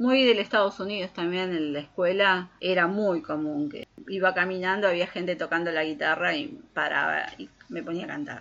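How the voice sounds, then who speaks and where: A woman with an unremarkable speaking voice and lively intonation. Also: medium pitch for a woman, moderate pace, big swings in loudness. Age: 40s. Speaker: podcast co-host. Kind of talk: casual chat.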